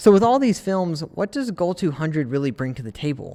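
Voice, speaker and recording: Using a normal speaking voice, a man talks at a fairly quick pace with lively intonation. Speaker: film photography YouTuber. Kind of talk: casual vlog review. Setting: outdoors in cold weather.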